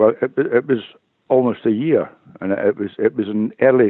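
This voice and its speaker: A man at a medium pitch, with a Glaswegian accent. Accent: Glaswegian Scottish. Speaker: retired police officer. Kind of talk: interview testimony. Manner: halting, repeats words.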